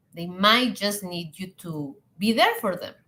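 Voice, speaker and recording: A woman speaks in a Spanish accent at a fairly slow pace. Her tone is bright and sharp, with lively intonation. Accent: non-native English, Spanish-speaking. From Latin America. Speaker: hospitality and leadership coach. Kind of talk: live online talk.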